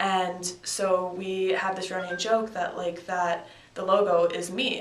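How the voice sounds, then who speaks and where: A woman with a slight Canadian accent speaks at a medium pitch in a monotone, flat intonation. Audible room echo and noticeable background noise surround her voice. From Canada, Victoria, British Columbia. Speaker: college field hockey player. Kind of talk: casual interview.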